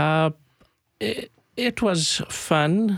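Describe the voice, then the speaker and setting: A man with an Arabic accent and ordinary pitch variation, in a very clean recording with a silent background and a dry, close sound with no echo. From Palestine (Jerusalem). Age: 50s. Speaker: community organization founder. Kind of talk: radio interview. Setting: studio. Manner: halting, many fillers.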